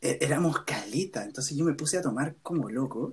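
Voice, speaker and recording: A man speaks in a Chilean accent. His voice is somewhat breathy, with lively intonation. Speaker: university student. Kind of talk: casual chat.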